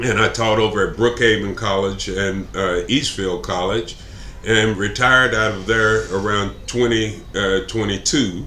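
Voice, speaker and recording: Amid noticeable background noise and audible room echo, a man with a Texan accent talks at a fairly slow pace in a fairly low, monotone, flat voice. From Texas (Plano). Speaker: political candidate. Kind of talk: interview. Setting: live stream. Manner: halting, many fillers.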